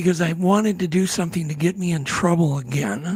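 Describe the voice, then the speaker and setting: A man's high voice at a moderate pace amid noticeable background noise. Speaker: film producer and bigfoot researcher, network founder. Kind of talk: podcast interview, casual chat.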